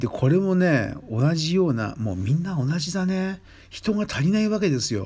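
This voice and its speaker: A man with a high pitch and a dark, mellow tone speaks at a moderate pace. His pitch swings very widely. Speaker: podcast host, Thai massage trainer. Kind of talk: casual solo talk. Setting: late-night solo recording. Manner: rambling, conversational.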